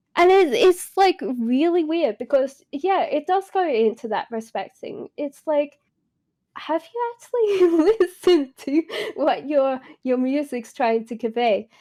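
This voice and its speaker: A woman's high, dark, mellow voice at a fairly slow pace, with very wide pitch swings and a dry, close sound with no echo. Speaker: streamer. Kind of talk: casual chat.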